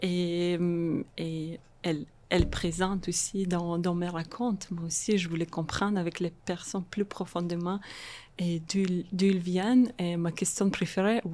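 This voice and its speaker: Fairly low and dark, mellow in tone, this woman's voice has fairly even intonation. She speaks at a fairly slow pace. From Moldova (Transnistria), raised in Israel. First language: Russian (speaking French). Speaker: social worker and art therapist. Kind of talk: podcast interview. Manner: halting, many repetitions and hesitations; code-switching French and English.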